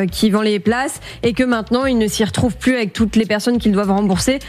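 Her intonation holds fairly level throughout. The speaker is a woman. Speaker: show researcher; panelist, consumer lawyer. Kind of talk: case briefing. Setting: studio. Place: studio. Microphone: studio mic.

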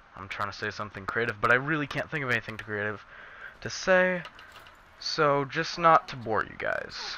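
The background carries noticeable noise. A man talks at a fairly high pitch. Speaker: gaming YouTuber. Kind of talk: casual talk to camera. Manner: rambling, off-topic.

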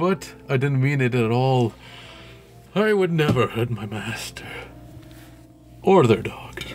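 A man puts on a character voice at a medium pitch, speaking fairly slowly. Clear music plays in the background. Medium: game stream. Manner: playful, whiny, clingy.

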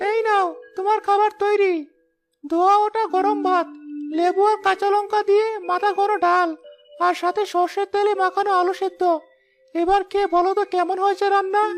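A woman does a cartoonish character voice, pitched extremely high with monotone, flat intonation. She keeps a moderate pace while music plays in the background. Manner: warm, gentle, storytelling.

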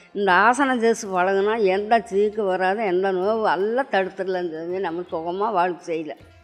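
Faint music plays behind a woman whose medium-pitched voice has ordinary pitch variation. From Coimbatore, Tamil Nadu, India; Tamil Nadu, India. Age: 80s+. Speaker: yoga teacher. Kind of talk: interview answer. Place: home room. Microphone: handheld.

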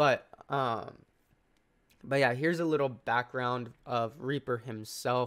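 Speech at a very slow pace, broken by long and frequent pauses, with fairly even intonation. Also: man, medium pitch for a man. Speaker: crypto YouTuber. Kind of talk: sponsored project review. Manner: casual with many fillers.

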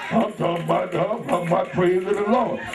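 A man amid loud background noise. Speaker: pastor. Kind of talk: sermon. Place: church. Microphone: pa.

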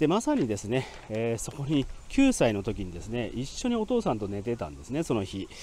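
A man speaks fairly quickly with big swings in loudness, the sound dry with no echo and light background noise behind him. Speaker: grave tour guide. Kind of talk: on-site historical presentation. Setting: outdoors at a cemetery grave. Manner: formal, polite with frequent fillers. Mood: calm, informative. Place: open country.

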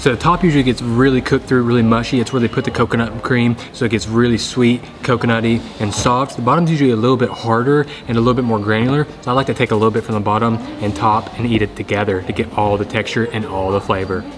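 Over light background noise, a man talks at a very fast pace with fairly even intonation. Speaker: food vlogger. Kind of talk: casual vlog chat. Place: market. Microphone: phone near.

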